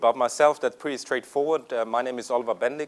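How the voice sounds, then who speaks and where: A man is speaking. He has a slight German accent. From Germany. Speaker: software company executive. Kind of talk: conference presentation. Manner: hesitant, many fillers.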